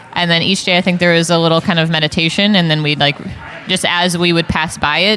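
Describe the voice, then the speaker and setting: The speech is very fast and monotone, with flat intonation and noticeable background noise. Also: woman. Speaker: religious sister and campus minister. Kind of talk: casual chat. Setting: coffee shop. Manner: hesitant, many fillers.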